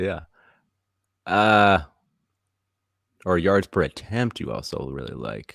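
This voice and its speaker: At a very slow pace with long, frequent pauses, a man with a very deep, low pitch and vocal fry uses lively intonation, heard in a very clean, dry, close recording with a silent background and no echo. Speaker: podcast co-host, trivia contestant. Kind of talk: trivia game show podcast. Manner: mumbling; quiet.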